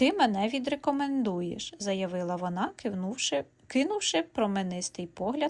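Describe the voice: The intonation is lively in this plain reading aloud.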